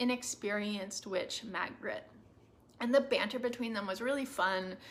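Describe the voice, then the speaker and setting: A woman's fairly high-pitched voice, a normal speaking voice. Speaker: booktuber. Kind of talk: casual review monologue.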